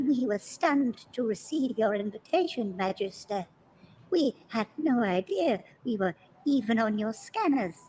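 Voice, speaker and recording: The voice is female-sounding, a put-on character voice. It sits at a fairly high pitch and keeps a moderate pace. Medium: game stream. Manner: deferential, uneasy.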